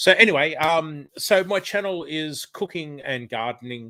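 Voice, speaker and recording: Recorded very cleanly against a silent background, a man with an Australian accent speaks in a bright, sharp tone at a fairly high pitch with ordinary pitch variation. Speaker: retired chef and cooking and gardening channel creator. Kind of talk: casual chat. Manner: hesitant, many fillers.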